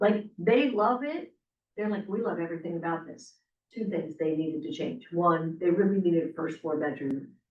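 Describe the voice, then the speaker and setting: Speaking at a moderate pace, a woman with a fairly low voice and lively intonation has an unremarkable speaking voice. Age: 60s. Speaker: real estate agent trainer. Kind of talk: casual group discussion.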